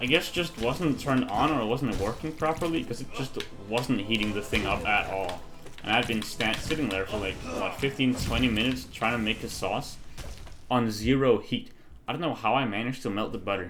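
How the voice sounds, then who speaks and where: A man speaks at a fairly quick pace in a medium pitch with ordinary pitch variation. There is audible room echo and noticeable background noise. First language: Danish. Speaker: gaming streamer. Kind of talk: casual gameplay commentary. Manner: halting.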